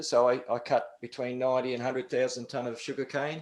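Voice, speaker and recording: A man speaks at medium pitch with an Australian accent. The recording is very clean, with a silent background. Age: 60s. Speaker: karate instructor. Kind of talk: casual interview.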